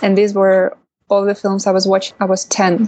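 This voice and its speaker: A woman with a Russian accent talks at a medium pitch. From Russia, Kaliningrad. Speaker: documentary filmmaker. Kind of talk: interview.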